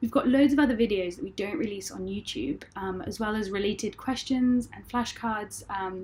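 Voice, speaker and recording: Speaking in a British accent at a moderate pace, a woman has a fairly high, somewhat breathy voice with ordinary pitch variation. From UK. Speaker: illustrator. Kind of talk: casual outro. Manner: halting, many fillers.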